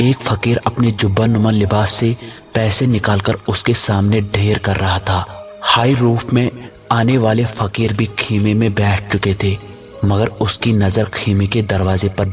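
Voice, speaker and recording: Music plays behind a man with a fairly low voice. His intonation is monotone and flat, and his loudness stays very even. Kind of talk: horror story narration.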